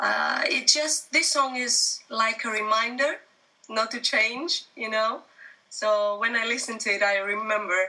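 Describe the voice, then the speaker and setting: At a fairly slow pace, a woman talks in a Greek accent. Her pitch is fairly high. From Greece. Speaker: singer-songwriter. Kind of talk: interview.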